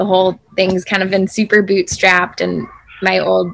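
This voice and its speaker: Against noticeable background noise, a woman talks fairly quickly with an American accent. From US Midwest, Chicago suburbs. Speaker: entrepreneur and influencer. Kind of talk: casual interview chat. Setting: outdoors on a farm.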